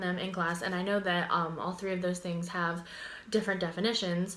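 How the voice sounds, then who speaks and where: A woman with an American accent, medium in pitch, with fairly even intonation and audible room echo. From Pittsburgh and Florida, US. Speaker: university student. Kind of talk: class presentation video. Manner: casual, many fillers (um).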